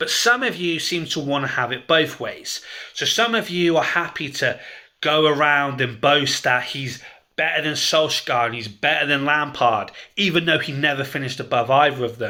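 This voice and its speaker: The speaker has a southern English accent. The tone is animated, bright and sharp. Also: man, fairly high pitch for a man, ordinary pitch variation, moderate pace. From southern England, Dorset near Bournemouth. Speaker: football fan vlogger. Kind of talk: opinion rant video.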